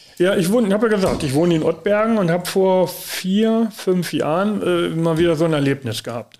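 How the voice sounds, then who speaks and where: Over noticeable background noise, a man with a high pitch talks at a fairly quick pace with hardly any pauses and ordinary pitch variation. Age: 60s. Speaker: family office manager, former bank executive. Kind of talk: interview. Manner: hesitant, many fillers.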